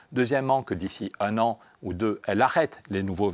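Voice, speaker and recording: The recording of this man is very clean, and the background is silent. His sound is dry and close, without any echo. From France, Pyrenees. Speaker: member of European Parliament, politician. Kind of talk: radio interview. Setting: radio studio in European Parliament. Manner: fast; animated.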